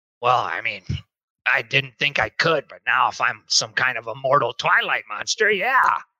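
A man puts on a character voice at a medium pitch. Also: moderate pace. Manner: folksy, plainspoken, deferential.

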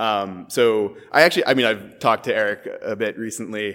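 Here a man talks at a medium pitch in a Californian accent. The recording is very clean, with a silent background. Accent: General American (California). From US West Coast, San Francisco. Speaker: startup co-founder and CTO. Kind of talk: casual interview chat.

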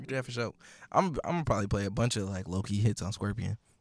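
Very fast and full of vocal fry, a man's fairly low voice carries lively intonation in a very clean recording with a silent background. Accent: American. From Milwaukee, US Midwest. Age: 20s. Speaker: DJ. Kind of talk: casual chat.

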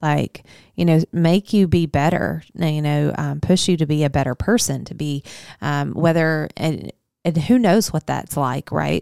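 A woman with a Southern US accent, very deep and low in pitch, dark and mellow in tone, at a fairly slow pace with ordinary pitch variation, in a very clean recording with a silent background and a dry, close sound with no echo. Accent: Southern American. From US South, Arkansas. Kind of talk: casual chat.

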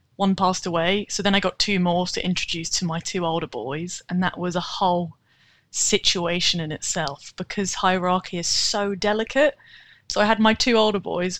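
A woman with a British accent speaks with ordinary pitch variation in a dry, close sound with no echo, on a very clean recording with a silent background. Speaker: rat owner and rat-themed account creator. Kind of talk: casual interview chat.

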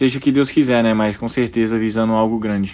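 A man speaks with monotone, flat intonation. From Brazil, Brasília. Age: 20s. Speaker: professional basketball player. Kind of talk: casual interview.

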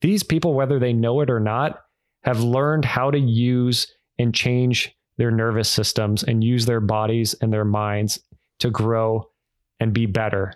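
A man speaks at a medium pitch and a fairly slow pace. His intonation stays fairly even over a quiet background. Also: very even loudness. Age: 30s. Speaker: author and real estate investor. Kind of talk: casual interview.

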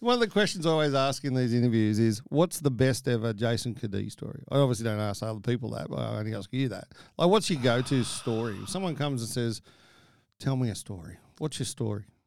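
A man talks at a very fast pace with an Australian accent. His pitch is medium, with ordinary pitch variation. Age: 50s. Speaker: podcast host. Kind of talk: casual interview chat. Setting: studio.

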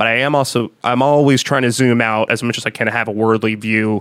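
An unremarkable speaking voice from a man at a medium pitch, fairly quick, with fairly even intonation and a dry, close sound with no echo. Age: 30s. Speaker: music producer and studio owner. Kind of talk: casual interview chat.

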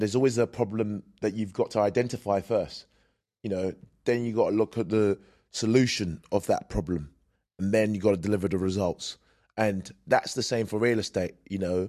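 At a moderate pace and with fairly even intonation, a man with a British accent talks over a quiet background. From UK. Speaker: podcast host and bodybuilder. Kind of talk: interview conversation.

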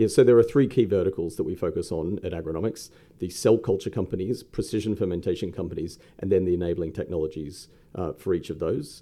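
The man's pitch is very deep and low. He talks fairly quickly. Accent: Australian. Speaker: investment company co-founder. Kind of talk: interview. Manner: hesitant, many fillers.

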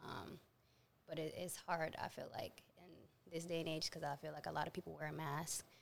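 The delivery is monotone and flat, with vocal fry. It moves at a fairly quick pace. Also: woman, very deep, low pitch for a woman. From Atlanta. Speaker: model. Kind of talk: casual chat.

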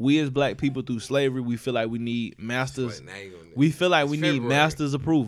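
Very clean recording with a silent background, featuring a man at medium pitch with ordinary pitch variation. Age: 20s. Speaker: podcast host. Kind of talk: casual chat. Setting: studio. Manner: animated.

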